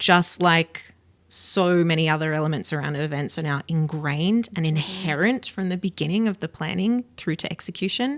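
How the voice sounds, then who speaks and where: A woman speaks with an Australian accent at a moderate pace. Her pitch is fairly low, with ordinary variation. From Australia, south of Sydney. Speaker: event accessibility professional. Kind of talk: podcast interview.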